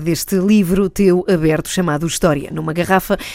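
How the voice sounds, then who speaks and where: A woman's medium-pitched voice at a fairly quick pace, a plain, everyday voice. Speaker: radio host. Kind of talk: radio interview.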